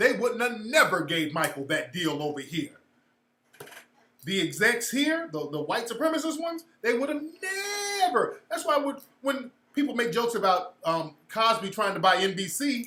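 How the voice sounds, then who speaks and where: A man with a high pitch uses a raised, projected voice and an animated tone. His pitch swings very widely, and he takes long, frequent pauses. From California. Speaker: livestream host and social commentator. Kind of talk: casual livestream commentary. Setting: livestream with chat room.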